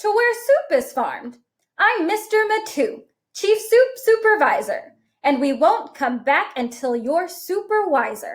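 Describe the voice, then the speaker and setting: The speaker uses a put-on character voice at a fairly slow pace. Pitch swings very widely throughout. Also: woman, extremely high pitch for a woman. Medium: read story. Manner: jolly, exclamatory.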